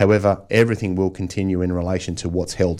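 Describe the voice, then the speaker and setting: A man with an Australian accent, very deep and low in pitch, fairly quick and monotone, flat in delivery, on a very clean recording with a silent background. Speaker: financial planner. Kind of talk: radio interview. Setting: radio studio. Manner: casual.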